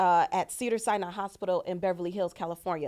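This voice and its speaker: The pace is very fast, with fairly even intonation. The recording is very clean, with a silent background. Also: woman. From Chicago. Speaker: nurse turned trucking company founder. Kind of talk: casual chat.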